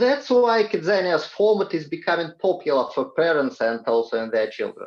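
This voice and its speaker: A man with a Russian accent talks at a moderate pace against a quiet background. His high-pitched voice swings very widely in pitch. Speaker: education professor. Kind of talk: panel presentation.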